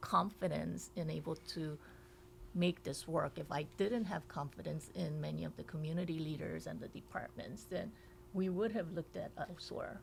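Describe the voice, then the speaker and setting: This woman has a Korean accent. She keeps a moderate pace. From South Korea, moved to Hawaii at nine. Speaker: state legislator. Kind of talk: podcast interview.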